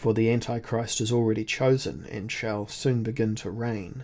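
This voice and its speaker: A man in a put-on character voice sounds resonant, with medium pitch and a moderate pace. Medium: read story. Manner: emotionless, weighty, authoritative.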